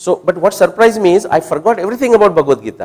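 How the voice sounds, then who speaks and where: A man speaks with a Marathi Indian accent. His pace is very fast. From India (Maharashtra). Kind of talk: talk with audience Q&A. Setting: hall with live audience. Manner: conversational, with fillers and restarts.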